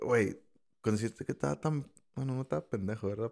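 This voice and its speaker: Recorded very cleanly against a silent background, a man speaks at a fairly low pitch with a dark, mellow tone and ordinary pitch variation. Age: 30s. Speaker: podcast guest. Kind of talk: casual chat.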